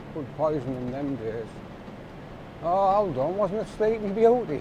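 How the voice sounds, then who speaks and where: Speaking fairly slowly in a high voice, a man swings his pitch very widely while the room echo is audible. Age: 60s. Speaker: waste collector. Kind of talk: casual chat; documentary interview.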